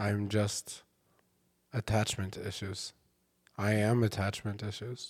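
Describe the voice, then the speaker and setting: Quiet and at a very slow pace, a man speaks in a fairly low pitch with monotone, flat intonation and long, frequent pauses, on a very clean recording with a silent background. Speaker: comedian. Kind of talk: casual chat.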